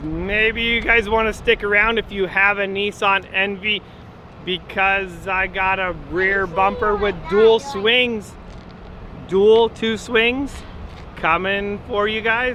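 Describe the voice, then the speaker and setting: A man puts on a robotic character voice with a high pitch. He speaks at a fairly slow pace over clear background noise. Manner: robotic monotone.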